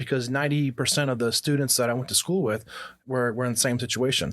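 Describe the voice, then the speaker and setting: Someone with an American accent talks at a fairly quick pace with fairly even intonation. The recording is very clean, with a silent background. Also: man. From Texas and US Army bases in Germany. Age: 40s. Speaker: podcast guest. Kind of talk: casual interview chat. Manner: halting, many fillers and restarts.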